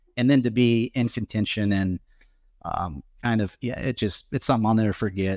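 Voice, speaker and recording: A man with an American accent talks fairly quickly at a fairly low pitch, his pitch varying in an ordinary way, in an unremarkable speaking voice. The recording is very clean with a silent background and sounds dry and close, with no echo. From Nebraska, US Midwest. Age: 50s. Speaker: golf caddie. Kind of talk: live podcast interview before audience. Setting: venue with live audience.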